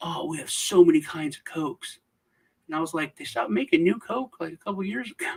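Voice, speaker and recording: A high-pitched man with an American accent at a very fast pace, in a dry, close sound with no echo. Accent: Southern US, comes out around family. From US South. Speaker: crypto video host. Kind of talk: casual chat. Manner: halting, with restarts.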